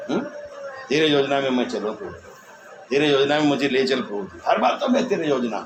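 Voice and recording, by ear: Big pitch swings from a man at a medium pitch, a fairly quick pace, and audible room echo.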